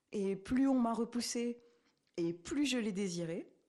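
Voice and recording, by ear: A woman's fairly high-pitched voice, dark and mellow, at a fairly slow pace with ordinary pitch variation.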